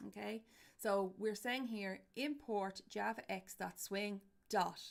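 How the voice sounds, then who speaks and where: With an Irish accent, a woman speaks very slowly and with fairly even intonation. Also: medium pitch for a woman. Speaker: university lecturer. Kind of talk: lecture. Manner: loud.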